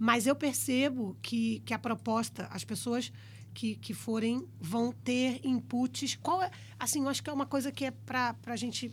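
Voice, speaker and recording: Speaking at a fairly slow pace, this voice carries a Brazilian accent. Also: woman. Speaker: podcast co-host. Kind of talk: casual interview; reading aloud.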